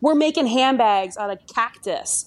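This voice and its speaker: A woman speaks at a fairly slow pace with a Philadelphia accent. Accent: Philadelphia-area American. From US, Delaware County, Pennsylvania (Philadelphia area). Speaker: fashion brand founder. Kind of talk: casual interview conversation.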